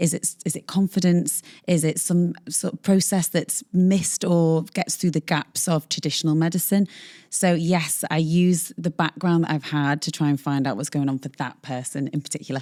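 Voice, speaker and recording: A woman's fairly low, dark and mellow voice in a British accent, at a moderate pace with ordinary pitch variation, dry and close with no echo on a very clean, silent recording. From northern England, the Wirral. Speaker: longevity medicine doctor. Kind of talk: interview conversation.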